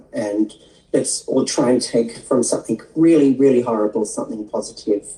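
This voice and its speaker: A woman speaks with an Australian accent and a very deep, low pitch. Her tone is dark and mellow, with ordinary pitch variation. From Australia, Sydney eastern suburbs. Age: 60s. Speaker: skin therapist and transgender activist. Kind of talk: interview. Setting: livestream video interview.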